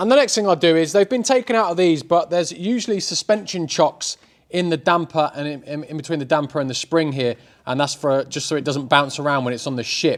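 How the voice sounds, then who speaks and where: A man with an English accent talks at a fairly quick pace. His pitch is fairly high and his intonation lively. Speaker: car repair youtuber. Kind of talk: casual vlog tutorial. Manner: fast.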